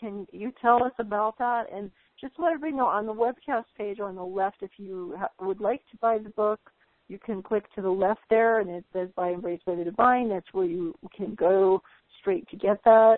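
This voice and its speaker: A woman in a plain, everyday voice speaks at medium pitch with ordinary pitch variation and big swings in loudness. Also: moderate pace. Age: 50s. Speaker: spiritual channel host. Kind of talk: webcast interview. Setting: webcast call.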